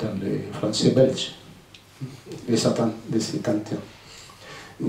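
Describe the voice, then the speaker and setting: A man talks at a very slow pace with a medium pitch and ordinary pitch variation. Room echo is audible, along with noticeable background noise. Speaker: author and former navy sailor. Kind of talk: book presentation Q&A. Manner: halting.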